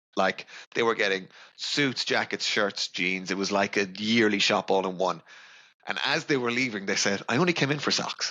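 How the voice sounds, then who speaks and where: In an Irish accent, a man speaks at a fairly low pitch and a moderate pace, with ordinary pitch variation and very even loudness. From west of Ireland (Ballinasloe). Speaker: sales account manager. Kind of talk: podcast interview.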